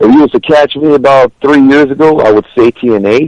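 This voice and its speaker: Heard in a dry, close sound with no echo, a man has a normal speaking voice, lively intonation and a moderate pace. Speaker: professional wrestler. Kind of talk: interview answer.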